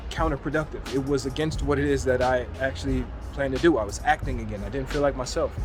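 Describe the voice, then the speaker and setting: Music plays in the background. Over it, a man speaks at a very fast pace. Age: 40s. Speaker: documentary filmmaker and actor. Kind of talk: casual video monologue. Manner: halting, with stutters.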